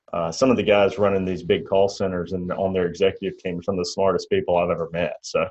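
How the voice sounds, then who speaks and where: This man speaks with a Mississippi accent. He leaves hardly any pauses. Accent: Mississippi drawl. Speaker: insurance agent trainer, channel host. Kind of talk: casual interview chat.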